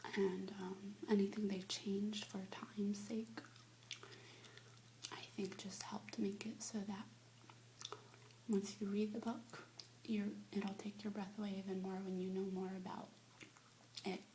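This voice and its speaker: A soft-spoken woman with a gentle tone talks at a fairly slow pace, medium in pitch with ordinary pitch variation. Long, frequent pauses break up her speech, and background noise is noticeable. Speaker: ASMR creator / whisperer. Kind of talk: ASMR review, casual talk to camera. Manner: soft-spoken, gentle.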